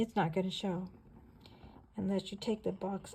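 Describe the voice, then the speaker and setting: A woman's somewhat breathy voice at medium pitch with a dark, mellow tone. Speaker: craft tutorial creator. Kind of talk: tutorial. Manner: casual, chatty.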